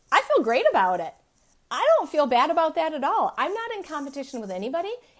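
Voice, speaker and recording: A woman talks in an animated tone at a very fast pace, her extremely high voice making very wide pitch swings. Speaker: business and marketing coach. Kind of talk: live stream training.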